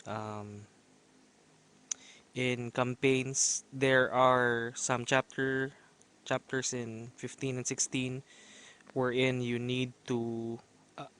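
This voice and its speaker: Speaking very slowly with long, frequent pauses, a man uses a medium pitch and monotone, flat intonation in a dry, close sound with no echo. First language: not English. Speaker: gaming video creator. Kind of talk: gameplay commentary. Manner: halting with many fillers.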